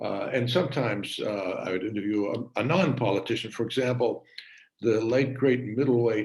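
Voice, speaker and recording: A man's somewhat breathy voice at medium pitch, moderate pace and ordinary pitch variation. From Massachusetts, Worcester. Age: 80s+. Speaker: retired TV journalist. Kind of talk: talk to an audience. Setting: video call. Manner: halting, many fillers.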